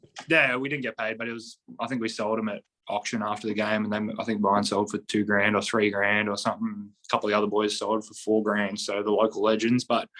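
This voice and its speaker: Speaking at a fairly quick pace with an Australian accent, a man has a fairly low pitch, a bright, sharp tone and monotone, flat intonation. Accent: Australian, kept it. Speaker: professional basketball player. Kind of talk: podcast interview. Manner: casual, many fillers.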